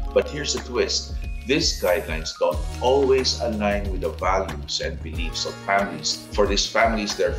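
A man's voice with clear music in the background. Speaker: commentator. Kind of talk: scripted opinion commentary. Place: home room.

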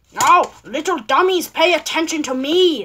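Put-on character voice from a woman, pitched extremely high, moderately paced. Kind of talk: talking down to listeners. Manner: scolding, bossy.

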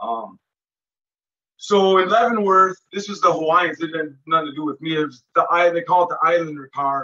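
A man with an American accent, high-pitched, bright and sharp, at a moderate pace with ordinary pitch variation. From Minnesota. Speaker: former federal prisoner; interview guest. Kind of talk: interview, casual recounting of prison life. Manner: halting, with many fillers and repeats. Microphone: video call.

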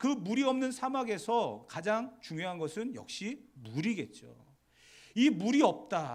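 Recorded very cleanly against a silent background, a man speaks at a high pitch with very wide pitch swings. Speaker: pastor. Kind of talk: sermon. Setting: church.

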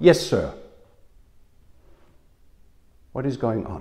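A man speaks with pitch that swings very widely. Vocal fry runs through his voice. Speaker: preacher. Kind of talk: sermon. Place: home room. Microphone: lapel.

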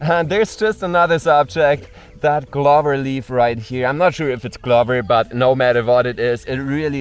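The intonation is lively, and the sound is dry with no echo. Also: man. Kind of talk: casual vlog chat. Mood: enthusiastic, amazed. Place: forest.

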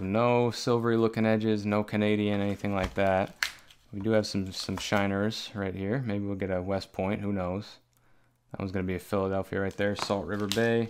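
A man at a fairly low pitch, fairly quick pace and monotone, flat intonation, with light background noise. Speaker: coin collector host. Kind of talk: casual vlog commentary. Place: home room.

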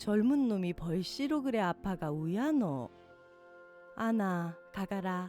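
A woman's medium-pitched voice in a Gyeongsang accent, very slow, with very wide pitch swings and music in the background. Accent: Gyeongsang dialect in dialogue. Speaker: poetry reader. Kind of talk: poetry reading.

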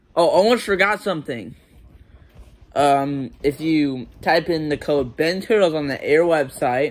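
Here a man talks fairly slowly. Ordinary variation marks his pitch. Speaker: food reviewer vlogger. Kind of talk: casual vlog chat. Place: home room. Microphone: phone near.

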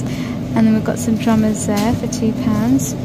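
Loud noise fills the background as a woman talks at a moderate pace. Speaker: shopping vlogger. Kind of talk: casual vlog chat. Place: shop. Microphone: phone near.

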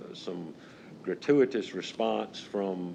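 A man with an Outer Banks accent. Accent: Outer Banks coastal Southern US. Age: 70s. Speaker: fish house owner. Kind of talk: public meeting remarks. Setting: county board meeting. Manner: halting.

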